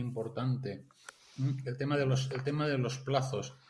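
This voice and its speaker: Speaking at a fairly slow pace with a fairly high pitch, a man is heard amid noticeable background noise and audible room echo. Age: 50s. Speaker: industrial engineer and grants consultant. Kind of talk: interview. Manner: halting, many repetitions.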